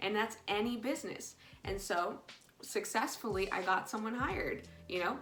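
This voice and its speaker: A woman with a non-native accent speaks at a moderate pace amid audible room echo. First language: ASL. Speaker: ASL teacher. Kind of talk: casual vlog monologue. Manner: hesitant, many fillers.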